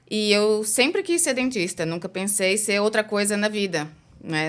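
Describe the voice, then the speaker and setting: At a fairly slow pace, a woman speaks with ordinary pitch variation in a very clean recording with a silent background. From Brazil. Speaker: dentist. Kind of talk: interview.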